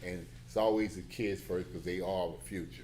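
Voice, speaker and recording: A dark, mellow tone with an American accent at a fairly quick pace, with audible room echo. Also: man. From Beaumont, Texas. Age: 60s. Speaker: church brotherhood president. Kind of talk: public comment at hearing. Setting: city planning commission meeting.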